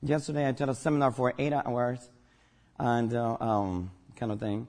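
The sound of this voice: At a moderate pace, a man with a medium pitch speaks in a slightly mellow tone and fairly even intonation.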